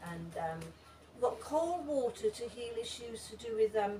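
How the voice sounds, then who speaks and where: Noticeable background noise lies beneath a fairly slow delivery. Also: woman. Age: 60s. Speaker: breathwork teacher and body worker. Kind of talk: talk with audience Q&A. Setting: seminar with live audience, unamplified. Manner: hesitant, many fillers and repetitions.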